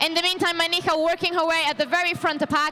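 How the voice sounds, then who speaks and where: Against noticeable background noise, a woman with a non-native accent talks very fast in a raised, projected voice, her tone animated and her pitch extremely high. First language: not English. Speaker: roller derby commentator. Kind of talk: live sports commentary.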